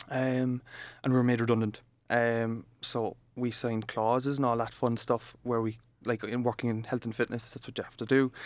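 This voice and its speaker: With an Irish accent, a man talks at a moderate pace in a medium pitch, his intonation flat and monotone. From Ireland, Cork area. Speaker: coworking space manager. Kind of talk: podcast interview. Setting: coworking office.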